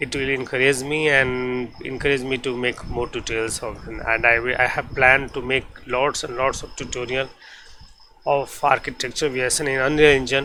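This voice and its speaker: With noticeable background noise, a man speaks in a medium pitch at a moderate pace, his intonation monotone and flat. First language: not English. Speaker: 3D visualization tutor. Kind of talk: software tutorial. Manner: halting.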